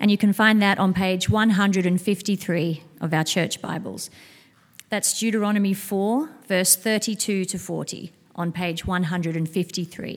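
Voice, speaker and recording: Delivered at a very slow pace, the words carry fairly even intonation. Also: woman, medium pitch for a woman. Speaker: scripture reader at church service. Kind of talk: reading aloud. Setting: church.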